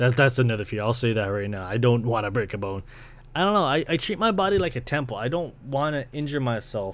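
A man with a Toronto accent speaks very fast at a medium pitch with lively intonation, in a very clean recording with a silent background. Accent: Toronto Canadian English. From Canada, Ontario (Brampton). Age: 20s. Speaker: podcast host and video creator. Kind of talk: casual solo monologue. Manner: casual, rambling.

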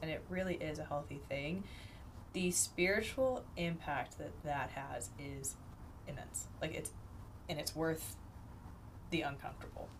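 A woman's voice is very deep and low, with vocal fry. Audible room echo surrounds it. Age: 30s. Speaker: podcast host, university staff. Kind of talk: casual chat.

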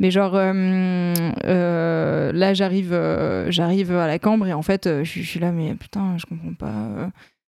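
A woman speaks in a fairly low voice with a dark, mellow tone. Her pace is very slow. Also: ordinary pitch variation. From Lorraine, France (Moselle). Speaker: make-up artist. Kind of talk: casual interview chat. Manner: hesitant, many fillers and repetitions.

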